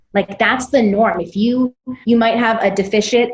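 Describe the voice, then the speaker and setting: With an American accent, a woman talks in a somewhat breathy voice, her pitch varying in an ordinary way. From US, Missouri. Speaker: self-directed education founder, former teacher. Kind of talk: podcast interview. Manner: fast.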